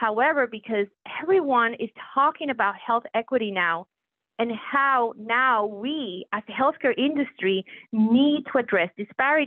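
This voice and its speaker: A woman with a Puerto Rican accent, fairly high in pitch, with lively intonation at a moderate pace. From Puerto Rico. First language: Spanish. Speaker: physician executive. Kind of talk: interview. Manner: formal.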